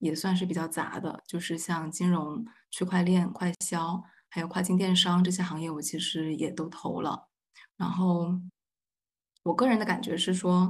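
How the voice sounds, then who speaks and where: Somewhat breathy, a woman with a fairly low pitch talks at a moderate pace with fairly even intonation. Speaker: graduate student. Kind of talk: roundtable discussion.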